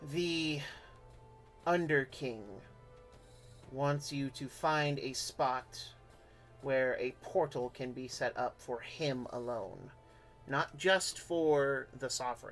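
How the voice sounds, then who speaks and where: Over clear background noise and a hissing sound, a put-on character voice at a low-to-middle pitch moves at a very slow pace with long, frequent pauses. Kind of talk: conspiratorial, secretive.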